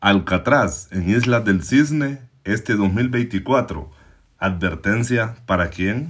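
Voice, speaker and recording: Against a silent background in a very clean recording, a man talks very slowly in a fairly low pitch with lively intonation. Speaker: news podcast host. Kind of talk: scripted news commentary. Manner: formal.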